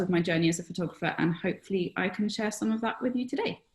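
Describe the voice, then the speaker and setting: Speaking with a British accent, a woman uses a medium pitch, a somewhat breathy voice and ordinary pitch variation. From Britain. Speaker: photographer and former veterinarian. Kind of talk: webinar discussion. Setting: online webinar.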